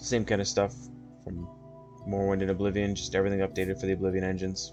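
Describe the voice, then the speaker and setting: Over music in the background, a soft-spoken man with a very deep, low pitch talks at a very fast pace with ordinary pitch variation. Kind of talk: casual gaming walkthrough talk.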